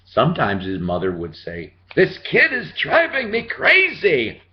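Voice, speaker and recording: A man speaks over noticeable background noise. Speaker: grandparent reading to grandson. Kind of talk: children's book read-aloud with casual asides. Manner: warm, folksy.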